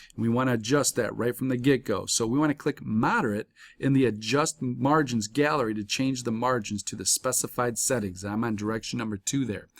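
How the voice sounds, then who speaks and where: A man with an ordinary speaking voice talks at a fairly quick pace, at a medium pitch with fairly even intonation. The very clean recording has a silent background and a dry, close sound with no echo. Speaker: college instructor. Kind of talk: tutorial.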